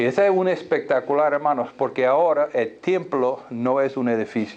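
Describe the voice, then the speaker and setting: With a non-native accent, a man speaks in a fairly high pitch with ordinary pitch variation. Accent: foreign accent in Spanish. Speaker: pastor. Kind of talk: sermon. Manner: halting.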